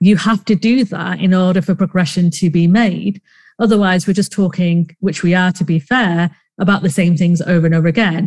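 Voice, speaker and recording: A somewhat breathy woman talks at a fairly quick pace and medium pitch. Her loudness stays very even. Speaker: podcast co-host. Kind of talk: casual chat. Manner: rambling, uses many fillers.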